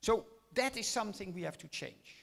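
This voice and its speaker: Speaking at a moderate pace, a man with a Dutch accent uses lively intonation. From Netherlands. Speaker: mathematics education lecturer. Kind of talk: lecture.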